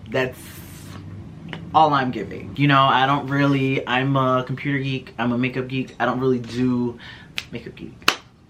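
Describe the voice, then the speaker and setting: Over noticeable background noise, a man with a medium pitch speaks in an animated tone, leaving long, frequent pauses. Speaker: beauty and lifestyle vlogger. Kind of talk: casual vlog storytelling. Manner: fast.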